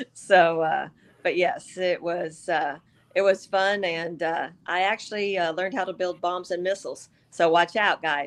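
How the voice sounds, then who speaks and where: A woman speaks in a normal speaking voice at medium pitch and a fairly slow pace. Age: 60s. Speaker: business networker, veteran. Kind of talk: casual interview chat.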